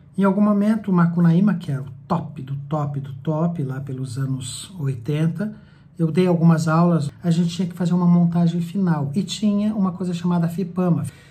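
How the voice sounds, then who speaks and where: A man speaks at a moderate pace with hardly any pauses, his high voice showing ordinary pitch variation against audible room echo. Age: 60s. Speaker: theatre director. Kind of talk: personal life story monologue.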